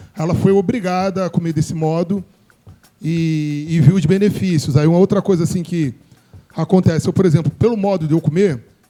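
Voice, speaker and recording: At a fairly quick pace, a man with a high pitch and a dark, mellow tone speaks with ordinary pitch variation. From Brazil, Morro Agudo (Rio de Janeiro area). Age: 40s. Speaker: DJ and show host. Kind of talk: casual group discussion.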